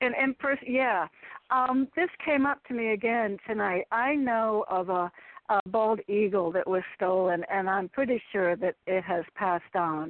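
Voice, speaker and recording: This is a normal speaking voice with lively intonation at a fairly slow pace. Its loudness stays very even. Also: woman, fairly high pitch for a woman. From US Northeast, Connecticut. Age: 60s. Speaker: caller. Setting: phone call.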